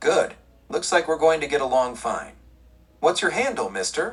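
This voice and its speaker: Using a put-on character voice, a man speaks at a fairly high pitch with very wide swings in it. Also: moderate pace. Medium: read story. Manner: brash, forward, flirtatious.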